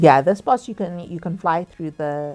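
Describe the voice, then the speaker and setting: Over music in the background, a woman with a very deep, low pitch talks at a moderate pace with ordinary pitch variation. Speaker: gameplay commentator. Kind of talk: gameplay commentary. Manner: halting, many fillers.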